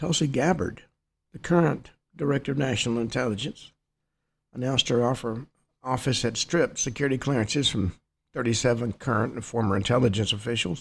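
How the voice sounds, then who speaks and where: At a fairly quick pace, a man speaks with a medium pitch and ordinary pitch variation. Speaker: radio talk show host. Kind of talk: news commentary. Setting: studio. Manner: louder than before. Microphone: new upgraded equipment.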